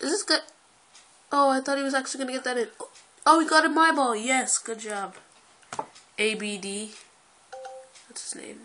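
A woman with a high pitch, bright, sharp tone and raised, projected voice, animated and with lively intonation, big swings in loudness, a moderate pace and long, frequent pauses. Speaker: gaming youtuber. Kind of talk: gameplay commentary.

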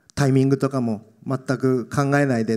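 A man is speaking. The background is quiet. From Tokyo, Japan. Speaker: actor. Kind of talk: Q&A after a film screening; interview answer. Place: stage. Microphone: handheld.

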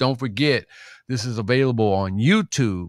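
Against a quiet background and with a dry sound with no echo, a man with an American accent talks fairly slowly in an animated tone with lively intonation. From US Midwest. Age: 60s. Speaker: interview show host and stepping DJ; interview show host, stepping DJ. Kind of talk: casual interview. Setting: live stream with listeners. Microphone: studio mic.

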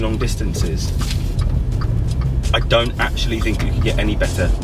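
With clear music audible behind him, the man talks at a fairly quick clip. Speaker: car reviewer. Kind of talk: car review commentary. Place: car.

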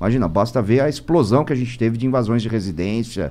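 In a dark, mellow tone, a man delivers his words fairly quickly. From Brazil, São Paulo. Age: 50s. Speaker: self-defense and firearms instructor; firearms instructor. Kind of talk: casual podcast interview. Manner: hesitant, repeating words. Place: studio. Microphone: studio mic.

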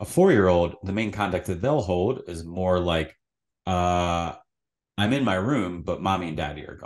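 Over a quiet background, a man speaks at a very deep, low pitch with ordinary pitch variation. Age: 30s. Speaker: psychotherapist; podcast guest. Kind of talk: casual interview conversation. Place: home room. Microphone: studio mic.

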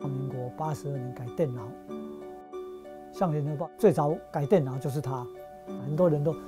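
Clear music plays behind a man as he talks. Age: 70s. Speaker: typesetter. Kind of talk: interview answer. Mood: calm, upbeat. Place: workshop.

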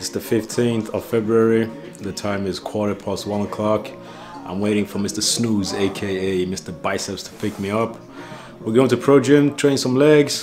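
Clear music plays behind a man talking at a moderate pace. His voice is fairly low with ordinary pitch variation. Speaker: vlogger. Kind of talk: casual vlog chat. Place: kitchen. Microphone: phone near.

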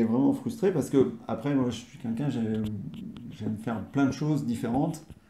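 A man with a medium pitch and a dark, mellow tone talks with hardly any pauses amid audible room echo. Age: 40s. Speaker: interviewee, host's partner. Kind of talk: casual interview. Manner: hesitant, many fillers and repetitions. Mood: calm, content. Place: home room. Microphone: camera far.

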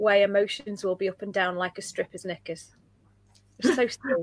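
A woman speaks at a moderate pace in a somewhat breathy voice. The sound is dry, with no echo. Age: 30s. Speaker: livestream host and coach; livestream host, coach. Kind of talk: casual chat. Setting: livestream. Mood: reflective, animated. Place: home room. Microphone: webcam.

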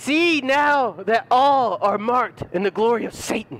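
Putting on a character voice, a man speaks at an extremely high pitch with lively intonation, a fairly bright tone and a fairly slow pace.

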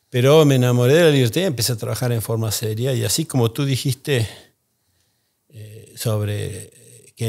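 A man with an Argentine accent sounds somewhat breathy, keeping a moderate pace and fairly even intonation against a quiet background. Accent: Argentine Spanish (Rioplatense). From Argentina. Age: 60s. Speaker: economist, think tank founder; podcast guest. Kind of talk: interview. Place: studio. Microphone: studio mic.

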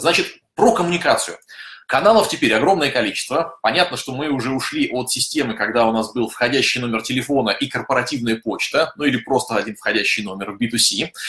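A man's bright, sharp voice at a fairly quick pace. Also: ordinary pitch variation. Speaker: software company office head; webinar host, presenter. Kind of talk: webinar. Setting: online broadcast. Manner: fast talker. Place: home room.

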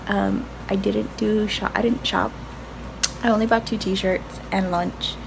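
A woman speaking fairly slowly over noticeable background noise. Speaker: vlogger. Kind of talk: casual vlog chat. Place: home room. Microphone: phone near.

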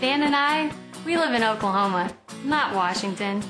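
Music plays behind a woman whose intonation is lively. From South Dakota. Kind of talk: TV commercial read.

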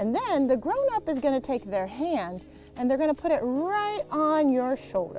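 A woman at a moderate pace, dry sound with no echo, faint music in the background. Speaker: gymnastics coach. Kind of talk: tutorial. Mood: playful, encouraging. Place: street. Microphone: lapel.

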